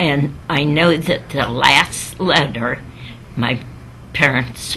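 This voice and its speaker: Over music in the background, a woman with a very deep, low pitch speaks at a very slow pace with ordinary pitch variation. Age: 80s+. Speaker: sister of a missing WWII sailor. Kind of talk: interview answer, personal recollection.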